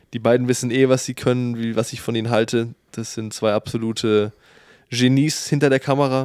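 A man speaks at a fairly quick pace and a medium pitch. His intonation is monotone and flat. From Bremen, northern Germany. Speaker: podcast co-host. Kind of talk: casual chat.

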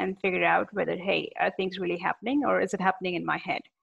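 A woman with an American accent and a medium pitch talks at a very fast pace. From India. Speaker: podcast host, sales professional. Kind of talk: interview.

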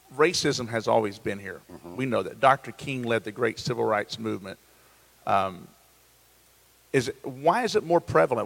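A man with an unremarkable speaking voice at medium pitch talks at a fairly quick pace with lively intonation and big swings in loudness, in a dry, close sound with no echo. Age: 40s. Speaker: pastor. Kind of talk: casual chat. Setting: church campus, live stream.

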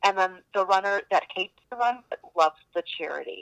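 With a Chicago accent, a woman speaks at medium pitch in a bright, sharp tone with ordinary pitch variation, and the sound is dry and close with no echo. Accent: Chicago American. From Chicago, Palestinian-American family. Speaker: charity running team captain. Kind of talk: podcast interview.

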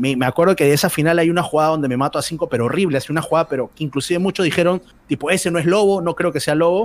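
A high-pitched man talks at a very fast pace with hardly any pauses. His pitch varies in an ordinary way. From Peru. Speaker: esports commentator. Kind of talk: interview.

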